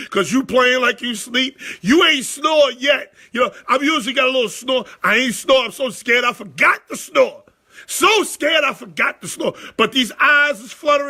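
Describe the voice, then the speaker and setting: A man's raised, projected voice, extremely high in pitch, with an animated, bright, sharp tone, ordinary pitch variation and a moderate pace. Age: 40s. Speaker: sports talk show host. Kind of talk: casual storytelling on a live show. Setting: live stream.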